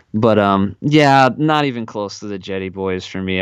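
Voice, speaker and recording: In a normal speaking voice with an American accent, the speaker goes at a fairly slow pace with ordinary pitch variation. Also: man. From Wisconsin, south central. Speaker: podcast co-host. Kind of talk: casual chat.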